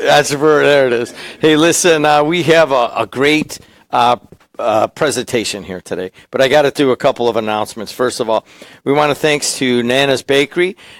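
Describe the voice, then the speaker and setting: In a very clean recording with a silent background and a dry, close sound with no echo, a man talks at a fairly quick pace in a fairly high pitch with ordinary pitch variation. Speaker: radio host. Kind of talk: event hosting, live audience announcements. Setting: studio with live audience.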